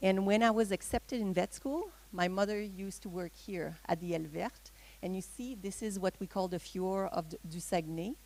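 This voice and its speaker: With a Quebec accent, a woman talks at a fairly quick pace at medium pitch with ordinary pitch variation. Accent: Québécois French accent in English. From Quebec, Gaspé Peninsula (Matane). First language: French. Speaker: veterinarian. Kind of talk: presentation. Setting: talk with audience, microphone. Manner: halting, many fillers.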